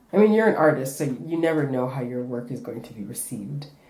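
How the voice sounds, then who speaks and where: Through audible room echo, a woman speaks with a dark, mellow tone. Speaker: refugee artist and spoken word poet. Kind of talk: interview. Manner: halting.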